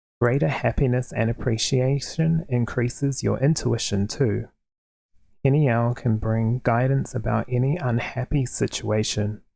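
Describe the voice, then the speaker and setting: A soft-spoken man talks at a fairly slow pace and medium pitch with a dark, mellow tone. His loudness stays very even and his intonation fairly even. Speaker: tarot card reader. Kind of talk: reading a guidebook passage aloud. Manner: quiet, soft-spoken.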